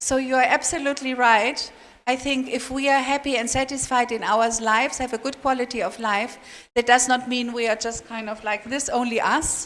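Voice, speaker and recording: Intonation stays monotone and flat in this voice with a non-native accent. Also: woman, high pitch for a woman, moderate pace. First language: not English. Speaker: international seminar speaker. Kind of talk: question and answer session.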